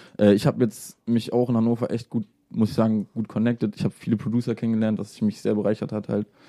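Very fast, monotone delivery with flat intonation and a dark, mellow tone, dry and close with no echo, in a very clean recording with a silent background. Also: man. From Salzgitter, Lower Saxony. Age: young. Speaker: music producer. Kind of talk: casual radio interview. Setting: radio studio.

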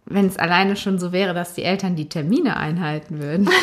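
With a normal speaking voice, a woman talks at a medium pitch with ordinary pitch variation. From Germany, Cologne area. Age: 20s. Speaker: teacher. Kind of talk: interview.

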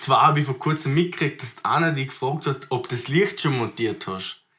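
The man has a bright, sharp tone at a fairly high pitch. He moves at a moderate pace, with ordinary pitch variation. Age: 20s. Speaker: rapper. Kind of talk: casual chat.

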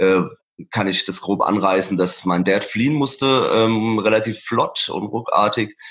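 At a fairly slow pace with hardly any pauses, a man speaks at a fairly low pitch with fairly even intonation. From Iran, Isfahan and Tehran; moved to Germany at eleven. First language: Persian (speaking German). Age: 30s. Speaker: painter and musician. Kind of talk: interview about his life story. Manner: hesitant with many fillers.

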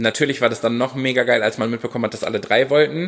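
This man has a medium-pitched voice with lively intonation. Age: 30s. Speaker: dance teacher and choreographer. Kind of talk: casual chat.

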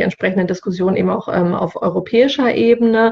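Noticeable background noise sits behind a woman speaking at a moderate pace. Her pitch is medium and her intonation fairly even. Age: 40s. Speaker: sustainability officer at a business initiative, fashion industry background. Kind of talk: podcast interview. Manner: hesitant, many filler sounds.

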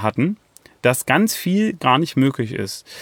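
A man's fairly slow speech with very wide pitch swings, in a very clean recording with a silent background. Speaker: podcast host, project management consultant. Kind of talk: solo educational podcast monologue. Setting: outdoors in a forest.

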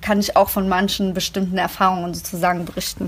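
A woman uses an ordinary speaking voice, keeping to a moderate pace. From Germany, Greek migrant working-class background. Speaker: podcast host. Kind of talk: casual chat.

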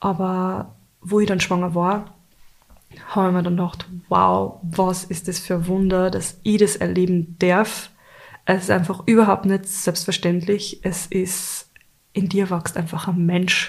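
The woman speaks at medium pitch and a fairly slow pace. Her voice is somewhat breathy, with monotone, flat intonation. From Austria, Carinthia then Upper Austria. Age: 30s. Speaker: podcast co-host, mother and blogger. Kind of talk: casual chat.

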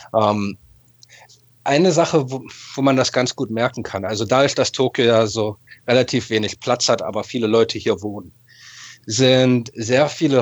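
A man speaks at a fairly slow pace, with a medium pitch and ordinary pitch variation. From Berlin, Germany (Westend, Charlottenburg). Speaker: football fan. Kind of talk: casual chat. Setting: video call.

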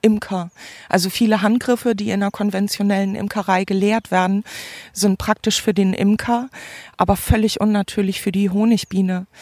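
At a moderate pace, a woman of medium pitch speaks in a monotone, flat way, recorded dry and close with no echo. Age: 40s. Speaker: hobby beekeeper. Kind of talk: interview monologue. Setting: outdoors. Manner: hesitant, many fillers.

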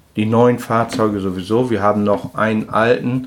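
A man talks at a medium pitch. His pace is fairly slow. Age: 50s. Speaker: trucking company owner, former truck driver. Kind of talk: casual interview. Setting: his office. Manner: halting.

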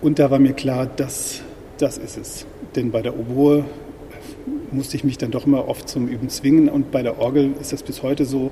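A man speaks at a fairly high pitch in a monotone, flat intonation. Long, frequent pauses and noticeable background noise are present. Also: moderate pace. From northwest Germany, village near Osnabrück. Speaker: church musician and organist. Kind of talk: interview. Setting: in a church.

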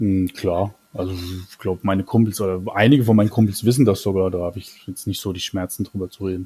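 A man with a very deep, low pitch and a dark, mellow tone rushes along at a very fast pace, somewhat breathy, his intonation fairly even but his loudness swinging widely. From Germany, Mannheim. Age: 30s. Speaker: Twitter user. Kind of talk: casual interview.

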